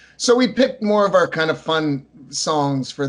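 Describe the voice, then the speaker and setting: A man's voice with noticeable background noise. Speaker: punk and folk singer-songwriter. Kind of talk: casual interview.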